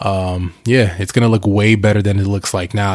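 Amid noticeable background noise, a man talks at a fairly quick pace with a fairly low pitch and monotone, flat intonation. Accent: American. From Northeast US, Bronx New York then New Jersey and Delaware. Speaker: podcast host, tech entrepreneur. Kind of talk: casual solo monologue. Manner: casual, filler-heavy with profanity.

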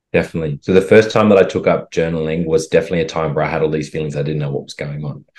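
In an Australian accent, a man speaks at a very fast pace with hardly any pauses, a very deep, low pitch, fairly even intonation and big swings in loudness. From Australia, rural western Queensland. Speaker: holistic health coach and actor. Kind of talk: interview conversation.

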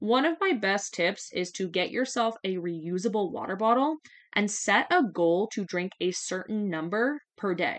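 This woman has an ordinary speaking voice at a medium pitch. She talks at a fairly slow pace in a Canadian accent. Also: lively intonation. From Canada, southwestern Ontario. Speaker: strength coach and podcast host. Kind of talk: solo podcast monologue. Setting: home office desk.

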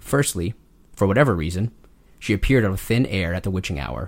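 On a very clean recording with a silent background, a man talks at a fairly quick pace. He has a normal speaking voice at a fairly low pitch. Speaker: podcast host and author. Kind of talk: ghost story telling, reading an original horror story aloud. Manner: casual, chatty banter.

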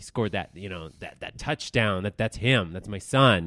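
This man has a fairly low voice with ordinary pitch variation. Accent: American. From US, Denver, Colorado. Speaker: news professional in addiction recovery. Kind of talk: personal testimony in interview.

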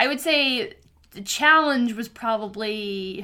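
Her voice is raised and projected, bright and sharp in tone, with very wide pitch swings. The woman talks at a very slow pace. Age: 30s. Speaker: podcast guest, host's sister. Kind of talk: casual chat. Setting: in person with host.

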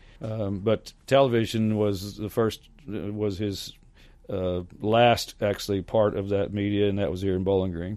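A man with an American accent, fairly low in pitch, dark and mellow in tone, with fairly even intonation at a moderate pace over a quiet background. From Hopkinsville, Kentucky, US South. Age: 60s. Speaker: professional clown and balloon artist. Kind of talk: casual interview.

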